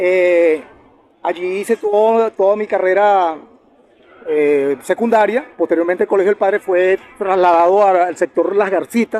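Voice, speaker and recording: A man's high-pitched voice at a fairly slow pace, over noticeable background noise. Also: ordinary pitch variation. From Venezuela, Valle de la Pascua (Guárico, llanos). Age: 50s. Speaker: lawyer and human rights defender. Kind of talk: casual interview. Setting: outdoors in the sun.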